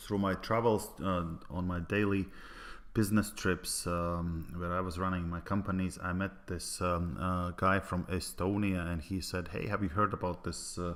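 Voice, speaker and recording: A man with a Latvian accent, very deep and low in pitch, with fairly even intonation. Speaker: network marketer. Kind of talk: sales pitch. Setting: online presentation. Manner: halting, many fillers.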